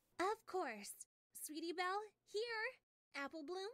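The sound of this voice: In a put-on character voice, the female-sounding speaker goes extremely high in pitch for a woman. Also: moderate pace.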